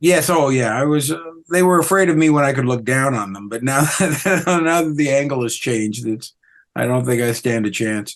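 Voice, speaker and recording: A man with a Canadian accent uses a normal speaking voice at medium pitch, moving at a moderate pace with lively intonation. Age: 60s. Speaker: comedian. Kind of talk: casual interview chat.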